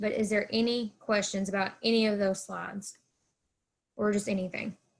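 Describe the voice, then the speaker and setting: Flat, monotone delivery from a woman at a medium pitch, with an American accent. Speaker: college counselor. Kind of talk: presentation. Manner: fast.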